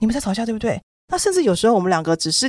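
This woman's fairly high voice sounds dry and close, with no echo. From Taiwan. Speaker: children's book author. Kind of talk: casual chat. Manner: animated.

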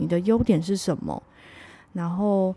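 A woman's fairly low voice with a dark, mellow tone, at a moderate pace, in a very clean recording with a silent background. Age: 30s. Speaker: podcast host. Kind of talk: solo podcast monologue.

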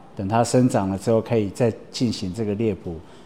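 With fairly even intonation, a man with an unremarkable speaking voice talks at a fairly low pitch. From Taiwan, Atayal mountain village (Taoyuan, Fuxing district). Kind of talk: interview monologue. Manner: casual with frequent fillers.

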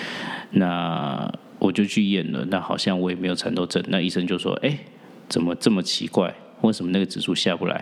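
Moderately paced male speech, very deep and low, with ordinary rises and falls in pitch. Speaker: podcast host and real estate agent. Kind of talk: personal storytelling monologue.

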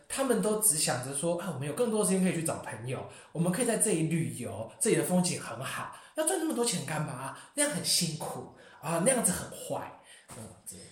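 A man's high voice moves at a fairly quick pace with very wide pitch swings and big shifts in loudness, heard with audible room echo and noticeable background noise. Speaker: international graduate student. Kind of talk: casual chat.

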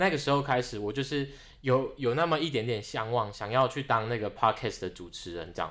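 On a very clean recording with a silent background, a man with an ordinary speaking voice talks at a fairly quick pace, his medium pitch carried by lively intonation. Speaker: graduate student. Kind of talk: casual interview.

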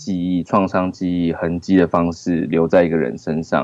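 Music plays in the background as a man speaks at a fairly slow pace in a very deep, low voice. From Taiwan, Taoyuan. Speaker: film director. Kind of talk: casual interview. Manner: halting.

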